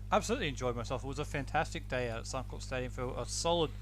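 A man talks with an Australian accent. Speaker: football podcast co-host and interviewer. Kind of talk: casual banter and interviewing.

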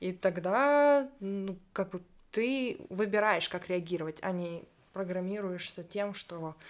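On a very clean recording with a silent background, a woman uses an ordinary speaking voice at a medium pitch with ordinary pitch variation. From Ukraine. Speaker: LGBT activist. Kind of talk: casual interview.

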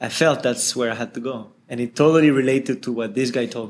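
Delivered at a moderate pace with fairly even intonation, the voice carries a French accent. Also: man. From France. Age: 20s. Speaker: social entrepreneur. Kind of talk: interview.

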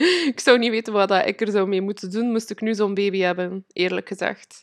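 A woman at a medium pitch, fairly slow pace and fairly even intonation, in a dry, close sound with no echo and a quiet background. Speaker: podcast host and manifestation coach. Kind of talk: personal storytelling monologue. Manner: halting, many fillers; frequent laughter.

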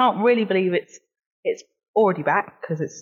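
A plain, everyday voice, a woman's voice at medium pitch, moves at a fairly quick pace with lively intonation. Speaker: podcast guest and Southampton football fan. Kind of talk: casual chat.

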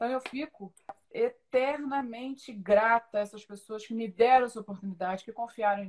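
A woman with a normal speaking voice and a fairly high pitch talks at a moderate pace, with ordinary pitch variation and big swings in loudness. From Rio de Janeiro state, Brazil (São Gonçalo). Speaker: coach supporting trainees. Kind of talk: casual interview on a live podcast.

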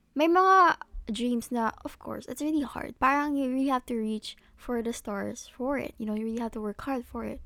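Over a very clean recording with a silent background, a woman speaks at a high pitch and a moderate pace. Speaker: solo podcaster. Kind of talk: casual monologue. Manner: casual, hesitant with fillers.

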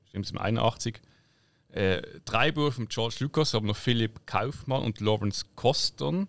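Lively in intonation, a man with a Swiss accent and medium pitch speaks at a fairly slow pace on a very clean recording with a silent background. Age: 30s. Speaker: podcast co-host. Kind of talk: casual chat.

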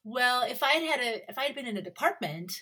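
A woman with an American accent and a bright, sharp tone speaks with very wide pitch swings. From United States. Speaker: university professor. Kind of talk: academic interview.

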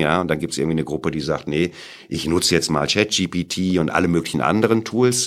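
At a very fast pace, a man with a very deep, low pitch speaks with ordinary pitch variation. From Sauerland, western Germany. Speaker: entrepreneur and university professor. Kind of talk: interview.

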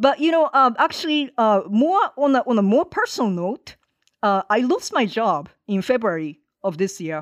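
This woman has a Japanese accent and a fairly high pitch. Her voice moves through very wide pitch swings. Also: moderate pace. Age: 50s. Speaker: activist organizer. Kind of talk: interview conversation. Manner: halting with many fillers.

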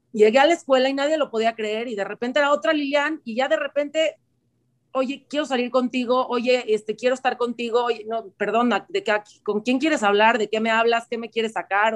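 Dry and close with no echo, a woman's high-pitched voice moves at a fairly quick pace with ordinary pitch variation. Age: 30s. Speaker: singer and stage actor. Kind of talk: interview.

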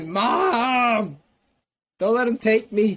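Shouting in a put-on character voice, the speaker hits a fairly high pitch. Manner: yelling, panicked.

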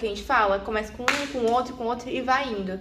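With audible room echo, a woman speaks at a fairly quick pace in a bright, sharp, fairly high voice with ordinary pitch variation. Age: 20s. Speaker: psychology student and corporate employee. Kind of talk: personal testimony. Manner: halting.

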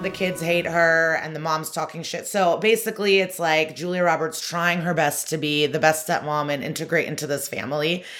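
Speaking in a normal speaking voice, a woman with a fairly low pitch keeps a moderate pace, fairly even intonation and hardly any pauses. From US Midwest, Chicago suburbs. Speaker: comedian. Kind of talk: casual chat.

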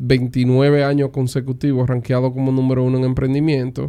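A dark, mellow tone marks this man's medium-pitched voice. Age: 30s. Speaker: entrepreneur and investor. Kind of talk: interview. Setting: at home.

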